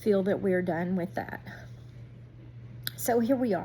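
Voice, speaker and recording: Somewhat breathy, a woman's medium-pitched voice has a dark, mellow tone and very wide pitch swings. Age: 60s. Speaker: youtuber, homesteader and gardener. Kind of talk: casual vlog talk to viewers.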